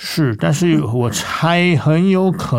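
Noticeable background noise sits under this recording. A man speaks with very wide pitch swings. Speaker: classical singer. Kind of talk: interview testimony. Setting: studio.

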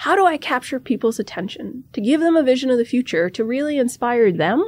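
A high-pitched woman with an American accent talks at a fairly quick pace. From no fixed home, army family in US and Europe. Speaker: army officer and cyber professor. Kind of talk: interview.

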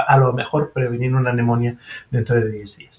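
With a French accent, a man of medium pitch speaks at a fairly quick pace in a somewhat breathy voice. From Switzerland (French-speaking). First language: French (speaking Spanish). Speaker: surgeon and professor. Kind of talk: interview.

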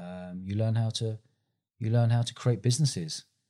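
A man with a London accent and a dark, mellow tone talks at a fairly quick pace and medium pitch, recorded very cleanly against a silent background. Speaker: festival founder and entrepreneur. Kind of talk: interview.

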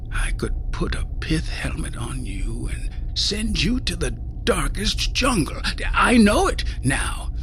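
Someone is doing a put-on character voice. Loud noise fills the background. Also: man. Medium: read story. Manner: menacing, intense, contemptuous.

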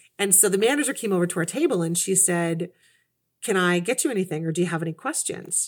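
Woman with a Canadian accent at a fairly quick pace. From Canada, Kitchener, Ontario. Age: 40s. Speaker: career changer, former retail manager. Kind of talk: interview conversation.

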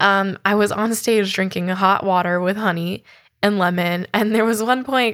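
An unremarkable speaking voice from a woman with an American accent, medium in pitch with fairly even intonation, on a very clean recording with a silent background. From US West Coast (Oakland, California). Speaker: podcast host, singer-songwriter. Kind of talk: casual personal anecdote; scripted narration.

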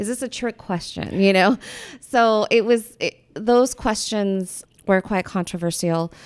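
In a plain, everyday voice, a woman with an American accent speaks fairly slowly at a fairly high pitch with ordinary pitch variation, the sound dry and close with no echo. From US Pacific Northwest. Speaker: art professor and photographer. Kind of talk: casual interview.

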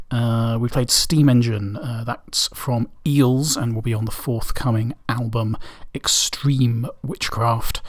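A man speaks at a very slow pace in a relaxed, somewhat breathy tone. His pitch is medium and his intonation fairly even. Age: 30s. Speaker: radio DJ. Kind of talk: indie radio DJ patter, back-announcing tracks and chatting casually between songs. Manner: relaxed and meandering, heavy with ums and uhs; halting, with repeated words and throat-clearing.

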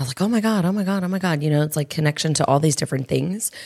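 A raspy woman talks at a very fast pace, low in pitch, with ordinary pitch variation. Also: slightly mellow tone.

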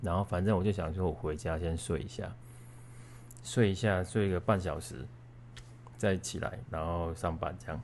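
A man with a very deep, low pitch, vocal fry and lively intonation at a moderate pace. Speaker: podcast co-host. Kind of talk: personal storytelling. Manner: casual with many filler sounds.

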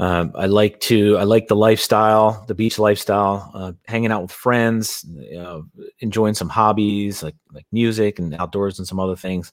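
A man with a normal speaking voice talks at a moderate pace and fairly low pitch, his intonation fairly even, his loudness swinging widely and his speech having hardly any pauses. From Philadelphia, US. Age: 30s. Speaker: real estate investor. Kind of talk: interview conversation. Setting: home studio, remote.

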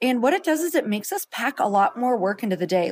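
A woman's pitch makes very wide swings in a very clean recording with a silent background. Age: 40s. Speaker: podcast co-host and entrepreneur. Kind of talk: casual chat. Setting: on a road trip stop at home.

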